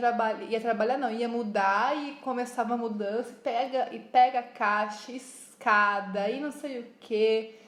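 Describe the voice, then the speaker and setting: A woman's high voice in a São Paulo interior accent, very slow and fairly even in intonation, with audible room echo and noticeable background noise. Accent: caipira accent from interior São Paulo. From interior of São Paulo state, Piracicaba. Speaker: podcast co-host, craft business. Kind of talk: casual chat.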